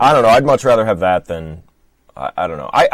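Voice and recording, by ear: Recorded dry and close with no echo, a man with an American accent races along at a very fast pace, his pitch swinging very widely and his loudness shifting a lot. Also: medium pitch for a man.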